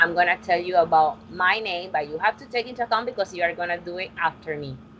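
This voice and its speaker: Speaking with a Colombian accent, a woman uses a fairly low pitch and ordinary pitch variation. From Colombia, Barranquilla. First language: Spanish. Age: 20s. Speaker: English teacher. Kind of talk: online class teaching. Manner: halting.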